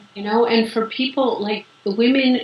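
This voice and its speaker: A woman talks at a moderate speed while noticeable background noise carries on. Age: 60s. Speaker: yoga teacher and writer. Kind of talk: interview. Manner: halting.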